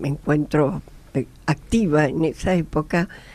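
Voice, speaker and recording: A woman's very deep, low pitch carries a dark, mellow tone and ordinary pitch variation. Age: 70s. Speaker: psychologist. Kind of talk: radio panel discussion.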